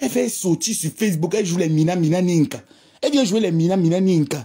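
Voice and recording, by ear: A woman speaks fast, with lively intonation and a fairly low pitch. Her tone is dark and mellow, with a slightly husky edge.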